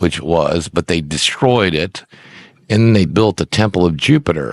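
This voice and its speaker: A man's very deep, low voice with lively intonation at a moderate pace, the sound dry and close with no echo. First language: Icelandic. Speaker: minister and religion presenter. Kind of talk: rant. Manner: halting; animated.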